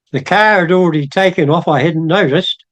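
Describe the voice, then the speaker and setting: A man talks at a moderate pace. He has a New Zealand accent. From New Zealand, Otago. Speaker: church member. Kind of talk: testimony.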